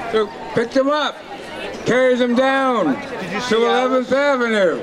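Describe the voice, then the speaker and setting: A man's extremely high-pitched voice over noticeable background noise. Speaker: rally organizer. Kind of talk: rally announcements. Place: street.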